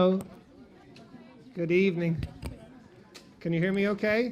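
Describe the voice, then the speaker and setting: With an Irish accent, a man speaks with fairly even intonation. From Ireland. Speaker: event host and venture capital sponsor. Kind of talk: opening speech at an awards event.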